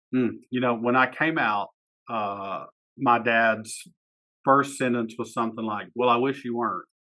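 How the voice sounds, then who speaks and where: A man speaks at medium pitch with an Eastern Kentucky accent. His intonation is fairly even and his pace fairly slow. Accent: Appalachian Eastern Kentucky. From Eastern Kentucky, Floyd County. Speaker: poet and teacher. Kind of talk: casual interview chat.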